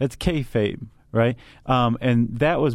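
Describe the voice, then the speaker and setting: Fairly even intonation runs through this voice. It is an unremarkable speaking voice. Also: man. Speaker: podcast host. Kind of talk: casual explanatory chat.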